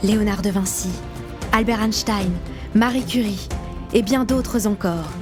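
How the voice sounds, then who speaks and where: With music in the background, a woman talks at a fairly slow pace in a medium pitch, her loudness very even, her intonation fairly even, and her pauses long and frequent. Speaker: voice actor. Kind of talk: children's book reading.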